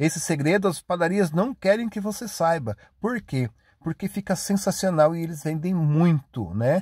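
A man talks with a high pitch and lively intonation at a moderate pace. The very clean recording has a silent background and a dry, close sound with no echo. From Paraná, Brazil. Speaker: cooking video host. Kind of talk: recipe tutorial. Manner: chatty, conversational.

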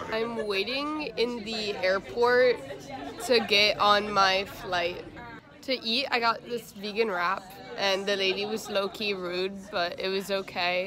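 Crowd noise sits in the background of this dry, echo-free recording as the speaker goes at a very slow pace. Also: woman, ordinary pitch variation. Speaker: travel vlogger. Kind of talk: casual vlog chat. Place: station. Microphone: phone near.

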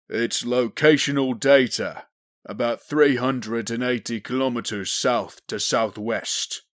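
In a put-on character voice, a man growls at a very slow pace and a medium pitch. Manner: methodical, commanding.

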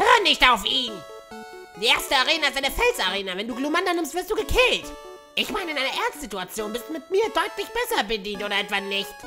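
Clear music plays behind a high-pitched, put-on character voice. It moves at a fairly quick pace. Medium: dub.

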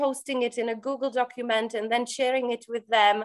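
High pitch for a woman, her voice set over a quiet background. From Czech Republic. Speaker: language coach. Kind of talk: interview. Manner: animated. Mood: warm, enthusiastic. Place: home room. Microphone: video call.

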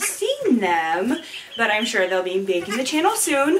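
Noticeable background noise runs through the clip. A woman speaks at a fairly slow pace. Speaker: pet vlogger. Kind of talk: casual vlog chat. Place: home room. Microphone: camera far.

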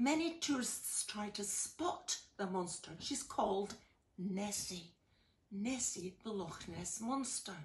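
A woman speaks at a very slow pace with a medium pitch and a somewhat breathy sound. Her pitch swings very widely. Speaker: storyteller. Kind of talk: casual explanation to children. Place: home room. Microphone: phone near.

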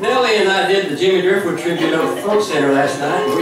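Over music in the background, a man speaks in a room with audible echo. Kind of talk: stage introduction to a song. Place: stage.

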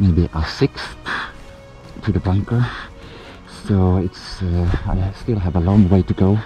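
Speaking very slowly with long, frequent pauses, a man uses a very deep, low pitch, the sound dry with no echo and faint music in the background. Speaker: outdoor challenge vlogger. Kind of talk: casual vlog chat. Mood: stressed, frustrated when lost. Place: forest. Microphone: phone near.

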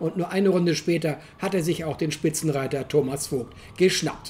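A woman speaks at a moderate pace with ordinary pitch variation. Her tone is dark and mellow, and somewhat breathy. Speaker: motorsport commentator. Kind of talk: race commentary. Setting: voiceover over video footage.

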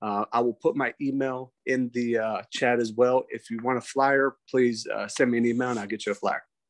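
A man speaks at a moderate pace with hardly any pauses, in a monotone, flat intonation. The sound is dry with no echo, and the background is quiet. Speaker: police major. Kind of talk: briefing. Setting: video call. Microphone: video call.

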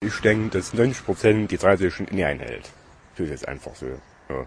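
The man talks at a fairly quick pace with lively intonation. The sound is dry with no echo, and light background noise is present. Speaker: local resident. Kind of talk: casual conversation. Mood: mildly complaining, casual. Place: street. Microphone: handheld.

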